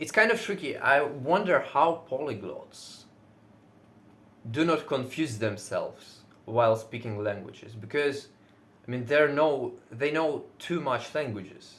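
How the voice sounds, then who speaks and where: With a Russian accent, a man speaks fairly slowly at a fairly high pitch, his intonation lively. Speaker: fitness vlogger. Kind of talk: casual monologue. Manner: loud.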